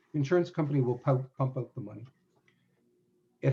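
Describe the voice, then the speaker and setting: A man with a Canadian accent speaks at medium pitch in a dark, mellow tone. His voice is somewhat breathy and his intonation fairly even. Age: 70s. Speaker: semi-retired business lawyer. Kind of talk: webinar interview.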